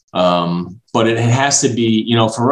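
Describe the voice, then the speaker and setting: With ordinary pitch variation, a man speaks in a normal speaking voice at a fairly low pitch. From Brooklyn, New York. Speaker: franchise development executive. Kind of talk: interview.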